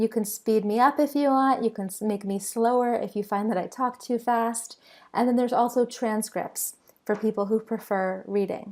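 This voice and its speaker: A woman speaks at a fairly high pitch with fairly even intonation. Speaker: online business course presenter. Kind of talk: sales webinar. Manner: fast.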